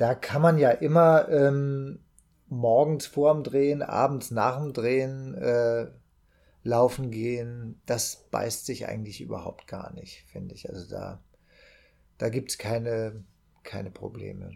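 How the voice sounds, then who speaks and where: Speaking very slowly with big swings in loudness, a man uses a medium pitch, ordinary pitch variation and a dark, mellow tone. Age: 40s. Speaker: actor and amateur runner. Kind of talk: casual podcast chat.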